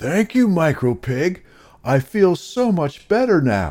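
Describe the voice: A put-on character voice from a man, fairly high in pitch and slightly mellow, with very wide pitch swings at a slow pace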